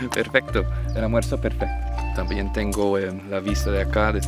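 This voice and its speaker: Clear background music beneath a man's dry, echo-free voice. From United States. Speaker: travel vlogger. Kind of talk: casual talk to camera. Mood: delighted, enthusiastic. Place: open country. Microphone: phone near.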